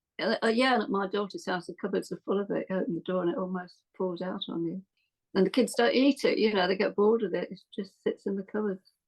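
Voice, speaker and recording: A woman talks at a very fast pace. Her pitch sits in the middle range, with ordinary variation. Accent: English Midlands. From English Midlands. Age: 70s. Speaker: podcast guest. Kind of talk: casual interview chat.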